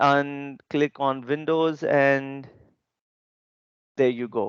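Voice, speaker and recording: In a dry, close sound with no echo, a man with a non-native accent speaks at a fairly high pitch. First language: not English. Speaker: database consultant and conference speaker. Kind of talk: technical webinar presentation. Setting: online video session. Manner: slow, deliberate; hesitant, many fillers.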